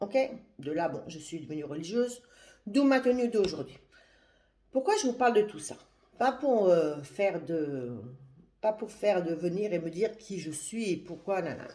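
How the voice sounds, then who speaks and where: Long, frequent pauses break up this woman's speech. Her medium-pitched voice swings very widely in pitch and jumps a lot in loudness. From France, Paris. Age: 60s. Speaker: religious woman giving advice to young women. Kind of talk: live video monologue. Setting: livestream. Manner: halting, with many hesitations.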